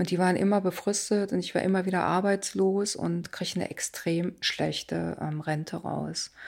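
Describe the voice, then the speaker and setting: On a very clean recording with a silent background, a woman talks at a medium pitch and moderate pace in a monotone, flat intonation with hardly any pauses. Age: 50s. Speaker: job placement officer. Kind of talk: personal interview.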